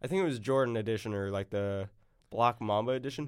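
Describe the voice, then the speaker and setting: An ordinary speaking voice with an American accent and lively intonation comes through on a very clean recording with a silent background. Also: man. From US South, Arkansas. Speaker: podcast host, student. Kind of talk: casual chat. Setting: studio. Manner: casual, laughing.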